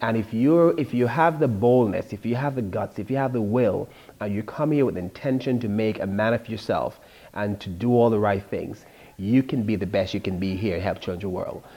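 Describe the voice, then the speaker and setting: In a strong Jamaican accent, a man with a dark, mellow tone and medium pitch talks at a moderate pace with ordinary pitch variation, in a very clean recording with a silent background. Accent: thick Jamaican. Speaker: author. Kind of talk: interview.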